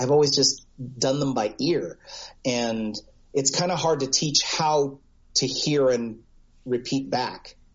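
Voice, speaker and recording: A man with an American accent speaks fairly slowly at a medium pitch, with ordinary pitch variation. He has a normal speaking voice. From United States. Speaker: voice actor. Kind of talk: casual interview.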